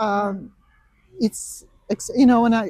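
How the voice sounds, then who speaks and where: A woman speaks with fairly even intonation and a fairly high, somewhat breathy voice. The sound is dry and close with no echo, on a very clean recording with a silent background. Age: 70s. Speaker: masters road cyclist. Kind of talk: interview. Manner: halting.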